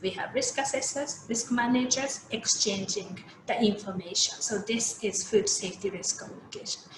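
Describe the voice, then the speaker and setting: Amid noticeable background noise and audible room echo, a woman with a Japanese accent speaks at a moderate pace in a fairly high pitch with ordinary pitch variation. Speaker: food safety expert. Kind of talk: keynote lecture. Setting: video call. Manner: halting.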